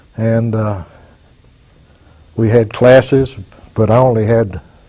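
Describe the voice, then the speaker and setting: A man's medium-pitched voice in an Arkansas accent, with a dark, mellow tone and ordinary pitch variation. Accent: Southern US (Arkansas). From Arkansas, US South. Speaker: war veteran. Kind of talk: oral history testimony. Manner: halting with fillers.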